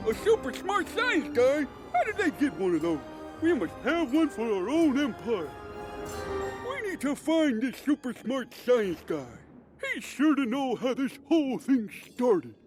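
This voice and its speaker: A man does a put-on character voice at a moderate pace with long, frequent pauses, clear music playing behind him. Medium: game stream. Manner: breezy, theatrical.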